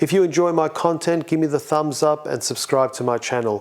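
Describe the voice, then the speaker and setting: At a fairly quick pace, a man with an Australian accent speaks with fairly even intonation. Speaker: tech reviewer. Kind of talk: tutorial.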